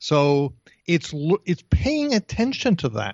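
A man's fairly high voice with an American accent and very wide pitch swings. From New Jersey. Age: 60s. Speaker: career coach. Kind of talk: interview.

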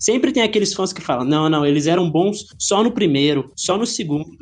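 A high-pitched man talks at a moderate pace with ordinary pitch variation. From Brazil, Goiânia (Goiás). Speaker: indie game developer. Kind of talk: interview. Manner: halting, frequent word repetitions.

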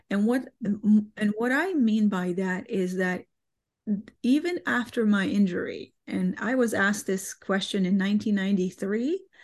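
Against a quiet background, a woman talks at a medium pitch, somewhat breathy, with ordinary pitch variation. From Bosnia. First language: Bosnian. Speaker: guest, amputee and dog owner. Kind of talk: casual interview, personal story.

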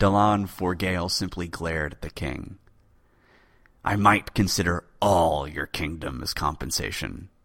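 A man's very deep, low voice with vocal fry, a dramatic, animated tone and big swings in loudness. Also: ordinary pitch variation. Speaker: podcast host. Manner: dramatic, animated, theatrical; measured, suspenseful pacing.

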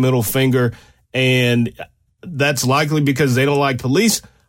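This man has an ordinary speaking voice at medium pitch, with fairly even intonation and a fairly quick pace. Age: 40s. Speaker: radio host and law enforcement analyst. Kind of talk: talk radio monologue. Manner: casual, conversational.

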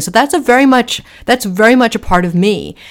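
A woman's fairly high voice with a Boston accent and very wide pitch swings, on a very clean recording with a silent background. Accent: American, Boston area. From US Northeast, Boston area. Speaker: author and extremism expert. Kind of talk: interview.

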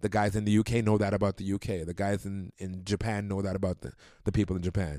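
A man with a Toronto accent speaks fairly quickly in a fairly low pitch and a dark, mellow tone, the sound dry and close with no echo. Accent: Canadian (Toronto). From Toronto, Canada. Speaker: club and sports team DJ. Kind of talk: casual chat.

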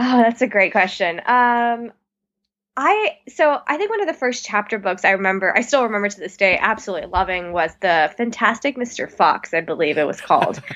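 A woman with an American accent speaks in an ordinary speaking voice at a fairly high pitch, with lively intonation. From Texas (Plano, Dallas suburb). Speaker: author. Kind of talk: interview.

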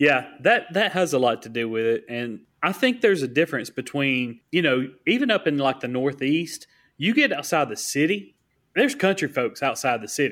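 A man with a Southern US accent speaks at a moderate pace and a fairly high pitch, with lively intonation. The recording is very clean with a silent background. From US South. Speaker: podcast co-host. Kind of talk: casual chat.

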